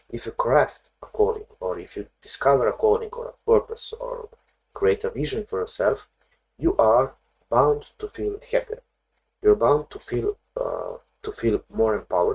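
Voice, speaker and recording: Fairly slow speech with a non-native accent, in a dry, close sound with no echo. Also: man. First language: not English. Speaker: therapist. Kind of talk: video lesson on therapy. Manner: halting, many fillers.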